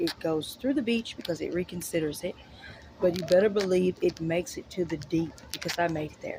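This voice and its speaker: A woman's lively intonation at a fairly quick pace. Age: 30s. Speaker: vlogger, mother. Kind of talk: personal vlog monologue.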